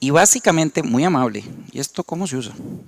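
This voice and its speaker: Over noticeable background noise, a man with a Costa Rican accent talks at a high pitch with lively intonation, the sound dry and close with no echo. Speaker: company representative, panel speaker. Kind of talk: conference presentation.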